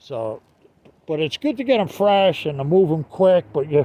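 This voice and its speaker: With a Northeastern US accent, a man talks at a fairly quick pace in a high pitch. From US Northeast. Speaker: online seller vlogger. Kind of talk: casual vlog talk. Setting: outdoors. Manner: halting, many fillers.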